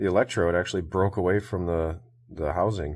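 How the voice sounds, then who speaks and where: A man speaks with a very deep, low pitch. His intonation is fairly even. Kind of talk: casual tutorial commentary. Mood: relaxed, amused. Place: workshop.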